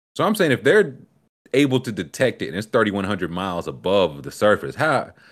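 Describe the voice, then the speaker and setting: A man speaks fairly quickly at a fairly low pitch, animated in tone, with vocal fry and very wide pitch swings. The recording is very clean, with a silent background. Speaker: podcast host. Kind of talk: casual comedic banter. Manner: animated, joking, quick-witted.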